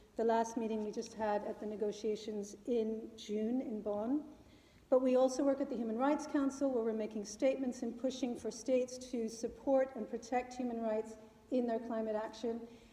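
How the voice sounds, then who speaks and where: A woman with an American accent speaks at a moderate pace in a fairly high pitch. Her intonation is monotone and flat, and audible room echo surrounds her. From New York City, US. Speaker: climate policy adviser. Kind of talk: public talk. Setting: meeting hall with live audience. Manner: loud.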